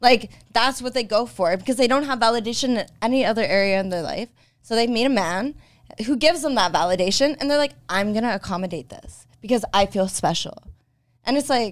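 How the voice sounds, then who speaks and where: A woman with a normal speaking voice, fairly high pitch, lively intonation and a fairly quick pace. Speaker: guest. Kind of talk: heated debate.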